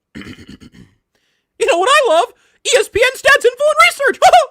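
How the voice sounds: At a moderate speed, someone talks in a put-on character voice pitched extremely high.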